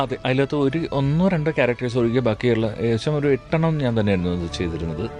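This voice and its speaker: Very wide pitch swings run through the voice while music plays in the background. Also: man, medium pitch for a man. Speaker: dubbing artist; mimicry artist. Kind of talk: radio interview answer. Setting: radio studio.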